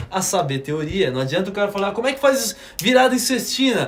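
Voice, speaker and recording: Through noticeable background noise, a man's voice swings very widely in pitch. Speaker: drum teacher. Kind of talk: live stream lesson. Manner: fast; casual, slangy.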